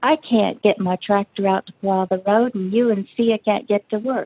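A woman with an American accent and an ordinary speaking voice, medium pitch and fairly even intonation. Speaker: book group member. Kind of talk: casual book discussion.

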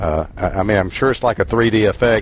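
A man is speaking. He has a Southern US accent. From Mississippi. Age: old. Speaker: book group member. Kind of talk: book club discussion. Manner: halting.

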